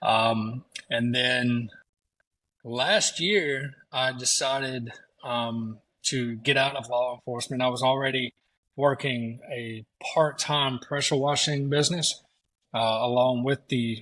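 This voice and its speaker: A man with a Southern US accent and a bright, sharp tone speaks at a medium pitch, very slowly, with fairly even intonation and long, frequent pauses. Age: 40s. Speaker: pressure washing business owner, former police officer. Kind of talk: casual chat. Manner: halting, many fillers.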